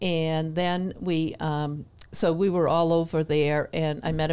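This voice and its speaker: A woman's very deep, low voice in a New England accent, flat and monotone. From New Hampshire. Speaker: missionary. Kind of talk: casual chat.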